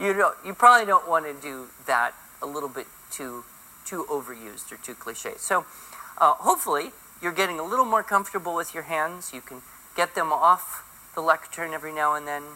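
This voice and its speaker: Lively intonation at a fairly quick pace, with big swings in loudness and noticeable background noise. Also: man, high pitch for a man. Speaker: public speaking teacher. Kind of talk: classroom lecture. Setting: small classroom.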